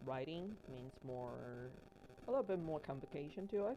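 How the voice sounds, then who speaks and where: A woman with a Mandarin accent speaks in a very deep, low voice with a dark, mellow tone. Her pitch varies in an ordinary way. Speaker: livestreamer crafting miniatures. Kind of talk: casual livestream chat. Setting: livestream. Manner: halting with many fillers.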